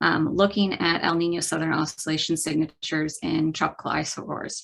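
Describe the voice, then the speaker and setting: A woman with a US Midwestern accent talks at a fairly quick pace. Her fairly low voice has fairly even intonation. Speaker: climate scientist. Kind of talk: lecture. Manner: hesitant with many fillers.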